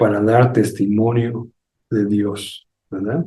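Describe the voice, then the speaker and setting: Dark and mellow in tone, a man's voice sounds somewhat breathy. He talks at a very slow pace. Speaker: pastor. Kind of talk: sermon.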